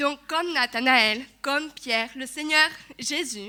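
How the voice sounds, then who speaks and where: A woman's raised, projected voice, bright and sharp in tone, at a very slow pace with ordinary pitch variation. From Togo. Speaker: church speaker giving testimony. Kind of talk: testimony sermon. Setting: church service. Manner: halting, with hesitations.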